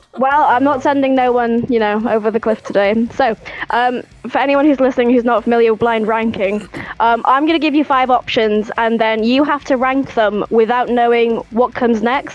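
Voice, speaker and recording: Against noticeable background noise, a woman speaks at a high pitch with fairly even intonation and very even loudness. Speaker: podcast host. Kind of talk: casual chat. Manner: fast.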